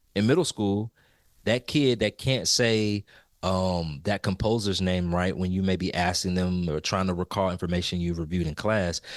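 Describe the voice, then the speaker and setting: This man talks at a moderate pace with a very deep, low pitch and ordinary pitch variation. The sound is dry and close with no echo, and the recording is very clean with a silent background. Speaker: music educator podcast co-host. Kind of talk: casual podcast discussion.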